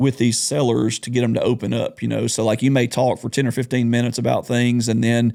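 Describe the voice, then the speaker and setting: With a Southern US accent, a man talks very fast in a dark, mellow tone. His intonation is monotone and flat, with hardly any pauses. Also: medium pitch for a man. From US South (Alabama). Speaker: real estate investor. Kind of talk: casual podcast conversation.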